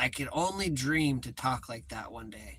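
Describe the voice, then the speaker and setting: A man speaks with a bright, sharp tone, some vocal fry, and an animated delivery. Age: 30s. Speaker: vlogger. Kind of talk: casual chat.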